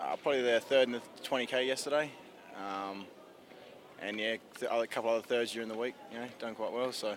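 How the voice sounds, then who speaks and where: A man with an Australian accent at medium pitch, very fast pace, fairly even intonation, and long, frequent pauses. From South Australia. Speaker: athlete, speed skater. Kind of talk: casual interview. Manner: brief, laid-back answers.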